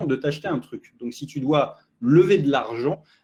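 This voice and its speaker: A man's dark, mellow voice, fairly high-pitched, at a moderate pace. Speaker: marketing consultant. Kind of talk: interview.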